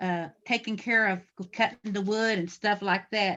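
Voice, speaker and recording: Bright and sharp in tone, a woman with an American accent speaks at a fairly slow pace, medium in pitch, with fairly even intonation. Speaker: Kiowa elder sharing memories. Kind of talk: personal reminiscence on community video call, partly read from notes. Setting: video call. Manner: halting, many fillers and restarts.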